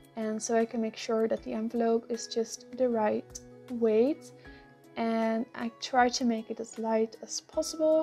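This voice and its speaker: A woman's fairly high, fairly even voice at a fairly slow pace, with music in the background. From Netherlands. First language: Dutch. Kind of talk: casual talk to camera. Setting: earphone mic.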